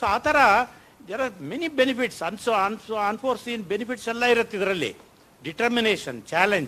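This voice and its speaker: A man's raised, projected voice has a high pitch, a bright, sharp tone and ordinary pitch variation. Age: 70s. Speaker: professor sharing personal diabetes reversal experience. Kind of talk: talk to an audience at a health session. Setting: auditorium with audience. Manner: animated.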